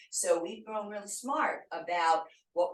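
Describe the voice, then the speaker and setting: A woman speaks fairly slowly at a medium pitch with lively intonation. Hers is an ordinary speaking voice. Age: 60s. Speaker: fitness instructor. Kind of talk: tutorial. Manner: casual and chatty.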